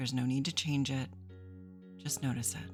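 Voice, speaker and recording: Over music in the background, a woman with a very deep, low pitch speaks at a fairly quick pace. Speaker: therapist. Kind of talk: guided meditation. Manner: soft-spoken.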